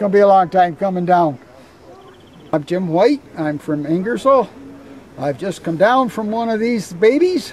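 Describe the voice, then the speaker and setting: A man with a Canadian accent at a high pitch, lively intonation, moderate pace and long, frequent pauses, over noticeable background noise. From southwestern Ontario, Canada. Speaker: air force veteran, flight passenger. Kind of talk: interview testimony.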